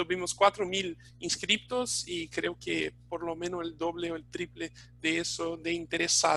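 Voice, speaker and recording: With a non-native accent, a man talks at a fairly slow pace in a high pitch, his tone bright and sharp and his intonation monotone and flat. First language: Portuguese (speaking Spanish). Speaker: webinar host, training institute staff. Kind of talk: live webinar closing remarks. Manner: halting, many fillers.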